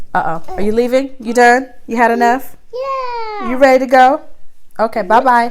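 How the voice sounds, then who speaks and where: A woman talks at a moderate pace while noticeable background noise can be heard. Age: 40s. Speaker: single working mom, vlogger. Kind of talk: casual talk to camera.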